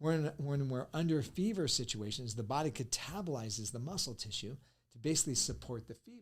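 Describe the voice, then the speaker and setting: Animated tone and lively intonation, somewhat breathy, at a fairly quick pace. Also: man. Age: 60s. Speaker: nutrition educator. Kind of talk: podcast talk.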